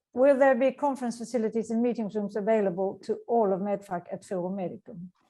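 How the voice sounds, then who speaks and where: A woman's dark, mellow voice in a Swedish accent, medium in pitch, with ordinary pitch variation and a very fast pace. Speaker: meeting moderator. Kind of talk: Q&A moderation.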